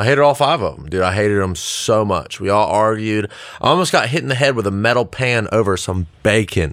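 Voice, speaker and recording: A plain, everyday voice from a man with an American accent, fairly low in pitch, fairly quick, with lively intonation. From South Carolina, Lexington. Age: 20s. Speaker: recovery coordinator. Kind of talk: casual chat.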